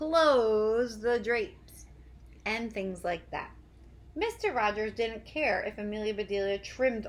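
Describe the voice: The clip is plain reading aloud.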